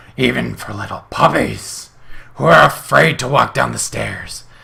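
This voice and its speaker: Someone does a raspy, put-on character voice. The pace is moderate. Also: man. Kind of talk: comedic reading of an online ad. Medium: read story. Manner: brash, boisterous.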